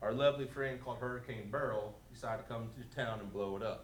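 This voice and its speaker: A medium-pitched man speaks at a moderate pace with ordinary pitch variation. Audible room echo and noticeable background noise fill the recording. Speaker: resident speaking at public comment. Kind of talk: public comment at council meeting. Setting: city council chambers. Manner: loud without microphone.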